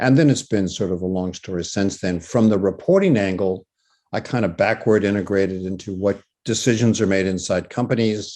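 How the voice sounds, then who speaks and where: Over a quiet background, a man with an American accent talks fairly quickly in a fairly low pitch with a dark, mellow tone. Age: 70s. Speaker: professor. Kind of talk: masterclass talk.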